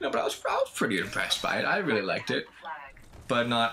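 There is noticeable background noise. A man with a medium pitch talks at a very fast pace. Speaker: gaming YouTuber. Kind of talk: gameplay commentary. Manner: rambling, hesitant.

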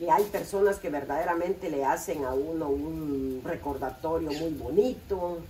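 A woman with a fairly low pitch speaks at a fairly slow pace over light background noise. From Guatemala. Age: 60s. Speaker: home cook. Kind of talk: casual chat. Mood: cheerful, warm. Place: kitchen. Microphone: phone near.

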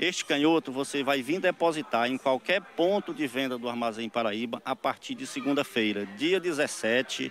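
A man at a moderate pace with hardly any pauses, a dry sound with no echo and light background noise. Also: lively intonation. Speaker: store representative. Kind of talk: radio ad pitch. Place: shop. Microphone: handheld.

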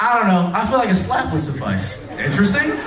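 Amid audible room echo, a man with an American accent talks at a moderate pace with big pitch swings.

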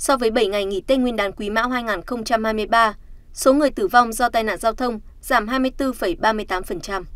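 Very slow speech from a woman, fairly high in pitch, with ordinary pitch variation. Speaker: news presenter. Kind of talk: news reading. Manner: formal.

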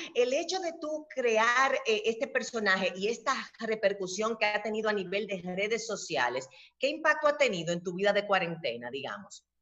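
A woman's animated voice, bright and sharp in tone, at a fairly high pitch with very wide pitch swings, vocal fry and a moderate pace. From Dominican Republic. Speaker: interviewer. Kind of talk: interview. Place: home room. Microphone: webcam.

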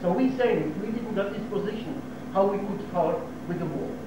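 A man is heard with audible room echo. There is noticeable background noise as well. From Israel. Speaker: local resident giving talk to tourists. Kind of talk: informal talk to tour group. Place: hall. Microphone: old recording.

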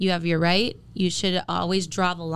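A woman with an American accent, medium pitch and a fairly quick pace. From Minnesota. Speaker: radio personality. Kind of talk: casual chat.

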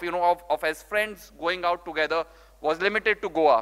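At a fairly quick pace, a man uses a raised, projected voice with a bright, sharp tone and ordinary pitch variation. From India, Rajasthan. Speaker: startup founder and CEO. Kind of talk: conference talk. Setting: stage with audience. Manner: animated. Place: hall. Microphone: podium.

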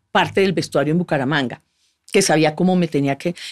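Her fairly low pitch and ordinary pitch variation come through in a Colombian accent as this woman speaks over a quiet background. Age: 50s. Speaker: actress and former beauty queen; actress. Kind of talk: casual interview conversation. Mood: relaxed, candid. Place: studio. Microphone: studio mic.

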